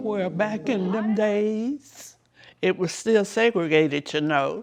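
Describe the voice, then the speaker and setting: With music in the background, a woman talks in a Southern US accent at a medium pitch. Her pace is very slow and her intonation lively. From South Carolina, USA. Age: 80s+. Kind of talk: interview answer.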